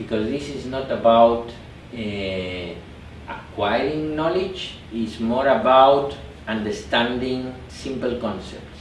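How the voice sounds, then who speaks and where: In a Spanish accent, a man speaks very slowly at a medium pitch with ordinary pitch variation, amid noticeable background noise and audible room echo. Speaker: meditation teacher. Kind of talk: workshop talk. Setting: meditation retreat with small group.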